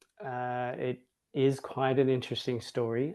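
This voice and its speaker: With an Australian accent, a man speaks with fairly even intonation. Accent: Australian-sounding. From Hawaii, US. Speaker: Montessori educator, school director. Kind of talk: online interview conversation.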